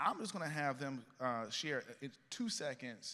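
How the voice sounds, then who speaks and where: A man's animated, bright, sharp voice of medium pitch in a Southern US accent. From US South, Columbia, South Carolina. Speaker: panel moderator, tech company CEO. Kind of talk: conference panel moderation. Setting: stage with audience.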